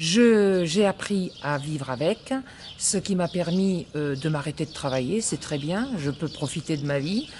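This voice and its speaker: Over noticeable background noise, a woman with a fairly low voice speaks fairly slowly and with lively intonation. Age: 60s. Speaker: patient. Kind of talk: testimony. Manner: halting.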